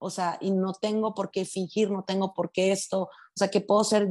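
There's a woman speaking at a medium pitch. The background is quiet. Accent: northern Mexican. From Mexico, Sinaloa (Los Mochis). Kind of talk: casual chat.

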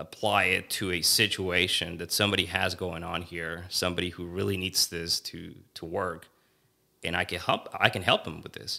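In a very clean recording with a silent background, a man with a very deep, low pitch and a Spanish accent speaks in a bright, sharp tone with monotone, flat intonation. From Mexico. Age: 20s. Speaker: lawyer. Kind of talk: casual interview.

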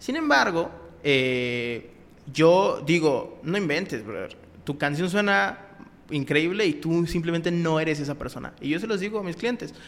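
A man speaks with a fairly high pitch and lively intonation. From Mexico, Acapulco. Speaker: rapper. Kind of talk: interview.

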